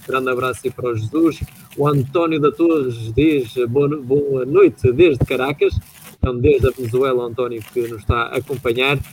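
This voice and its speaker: A man with an ordinary speaking voice, medium pitch, fairly even intonation and a moderate pace. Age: 20s. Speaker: radio host. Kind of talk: radio show.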